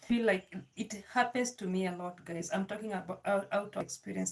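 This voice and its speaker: Somewhat breathy, a woman speaks with pitch that moves in a normal way. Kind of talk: personal vlog talk. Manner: halting.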